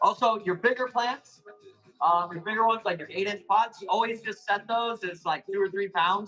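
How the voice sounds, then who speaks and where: A man speaks at a moderate pace in a raised, projected voice. His pitch is high, with ordinary variation. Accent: American. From Arizona, US. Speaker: plant seller hosting live auctions. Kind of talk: live sales stream.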